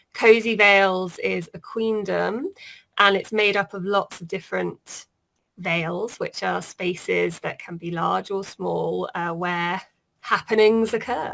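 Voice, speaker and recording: A woman with a British accent speaks at a very slow pace, her loudness swinging widely. The recording is very clean, with a silent background. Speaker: author. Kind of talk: casual interview.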